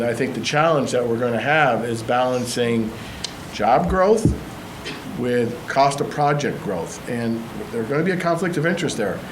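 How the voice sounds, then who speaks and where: Noticeable background noise and audible room echo, with a moderate pace and ordinary pitch variation. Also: man. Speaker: city council member. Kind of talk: council meeting debate. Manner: halting.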